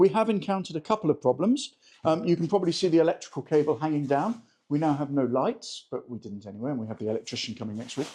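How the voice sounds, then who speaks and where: Talking very fast with a British accent, a man uses a fairly high, dark, mellow voice with very wide pitch swings. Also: big swings in loudness. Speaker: travel and home vlogger. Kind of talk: casual video vlog walkthrough. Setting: indoors at an apartment under renovation.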